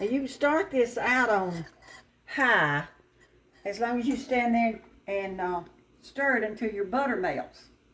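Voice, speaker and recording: A woman's fairly high-pitched voice in a Southern US accent, with lively intonation, a fairly slow pace and long, frequent pauses. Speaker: restaurant owner and home cook. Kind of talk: cooking tutorial. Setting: home kitchen. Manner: casual, conversational.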